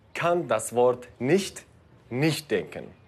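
A man speaks at a very slow pace in a fairly high pitch. His intonation is lively. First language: Kurdish (speaking German). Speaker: actor and video presenter. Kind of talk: educational video presenting.

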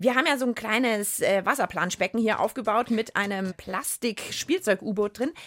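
A woman's medium-pitched voice, fairly bright in tone, with ordinary pitch variation. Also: moderate pace.

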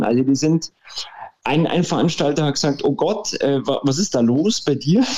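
This man's voice sits fairly high in pitch, with a dark, mellow tone and lively intonation. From Bavaria, Munich. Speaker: indie band singer. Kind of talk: interview. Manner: halting, many fillers.

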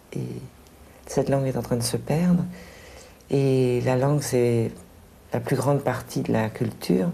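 Speaking at a fairly slow pace with long, frequent pauses, a woman uses a very deep, low pitch. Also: ordinary pitch variation. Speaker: teacher. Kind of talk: interview.

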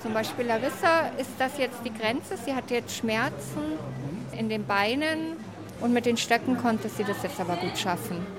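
With music in the background, a woman speaks at a moderate pace and fairly high pitch, her intonation lively. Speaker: hiking group organizer. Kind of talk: casual chat. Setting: outdoors.

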